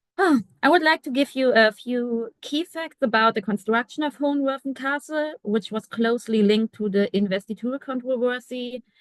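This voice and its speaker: At a moderate pace, a woman with a German accent speaks in a high pitch with ordinary pitch variation, the sound dry and close with no echo. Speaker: art historian, research associate. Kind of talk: academic presentation.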